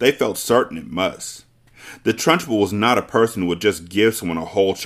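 The pitch shifts in an ordinary way. It is plain reading aloud.

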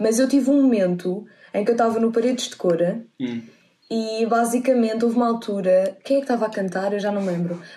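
At a fairly quick pace, a woman speaks in a fairly high pitch with ordinary pitch variation. Her tone is dark and mellow. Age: 20s. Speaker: podcast guest. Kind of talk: casual chat.

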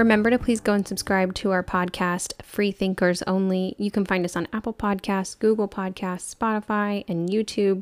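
In a very clean recording with a silent background, a woman speaks at a moderate pace with hardly any pauses, her medium-pitched voice monotone and flat, the sound dry and close with no echo. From Texas. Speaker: podcast co-host. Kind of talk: casual chat.

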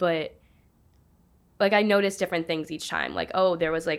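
Using vocal fry, a woman talks at a fairly quick pace with a fairly low pitch and ordinary pitch variation. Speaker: student opinion writer. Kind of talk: casual interview.

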